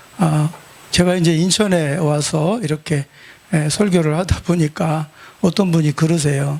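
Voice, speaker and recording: The man's pace is fairly slow, with noticeable background noise behind him. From South Korea, Chungcheong (Nonsan). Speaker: pastor. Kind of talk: sermon. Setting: church revival service with congregation. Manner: animated, humorous storytelling.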